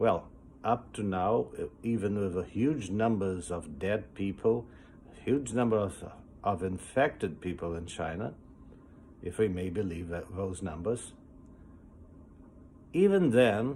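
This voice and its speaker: With a dark, mellow tone and a fairly low pitch, a man speaks somewhat breathily at a fairly slow pace, leaving long, frequent pauses. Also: ordinary pitch variation. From Brazil. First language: Portuguese. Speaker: foundation president. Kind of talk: recorded video message.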